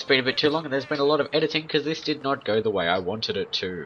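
Lively intonation from a man, over noticeable background noise. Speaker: gaming video creator. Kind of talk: gameplay commentary.

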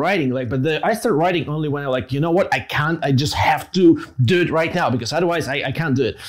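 A man's fairly high voice at a very fast pace, with lively intonation. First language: Russian. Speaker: podcast host. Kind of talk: casual interview; conversational podcast talk. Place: home room. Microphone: lapel.

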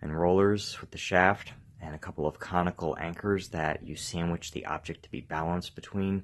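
This man's voice is very deep and low, with fairly even intonation and a moderate pace. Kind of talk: tutorial. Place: garage. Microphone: phone near.

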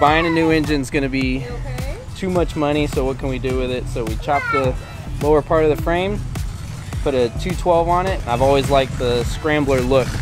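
Clear music plays behind a man who talks at a fairly quick pace with fairly even intonation. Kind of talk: interview answer. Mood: relaxed, friendly. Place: open country.

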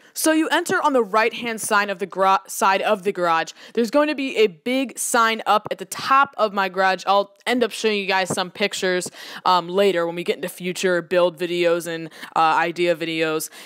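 Intonation is lively and the pace moderate. The background is quiet. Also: woman. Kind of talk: casual vlog chat. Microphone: phone near.

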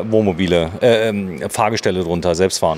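Over light background noise, a man speaks at a moderate pace. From Saarland, Germany. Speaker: video host visiting a factory. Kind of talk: guided factory tour chat. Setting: workshop hall. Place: factory. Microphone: phone near.

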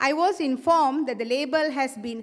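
A woman's high-pitched voice with ordinary pitch variation, over a quiet background. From Malaysia. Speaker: lawyer and democracy advocate. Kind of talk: prepared speech. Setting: stage with audience. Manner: formal. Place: stage. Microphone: podium.

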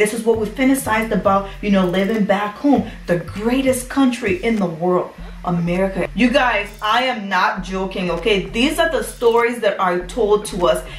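In a room with audible echo and light background noise, a woman speaks in an animated tone at a moderate pace, with ordinary pitch variation and hardly any pauses. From Liberia. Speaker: YouTuber. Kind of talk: storytime vlog. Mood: emotional, earnest storytelling. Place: home room. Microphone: phone near.

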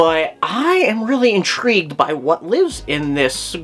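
This man's voice moves through very wide pitch swings. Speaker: reptile channel host. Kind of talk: commentary. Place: home room. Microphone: webcam.

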